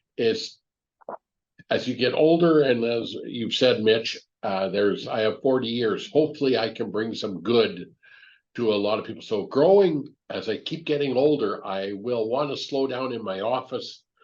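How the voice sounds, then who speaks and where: With a normal speaking voice, a man talks at a moderate pace and medium pitch, his intonation lively, over a quiet background. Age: 60s. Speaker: business owner and mentor. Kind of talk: podcast interview.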